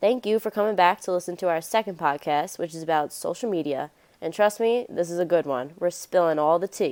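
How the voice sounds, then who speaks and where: A woman's normal speaking voice, fairly low in pitch and fairly quick, with ordinary pitch variation, on a very clean recording with a silent background. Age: 20s. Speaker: student podcast host. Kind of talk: student podcast discussion.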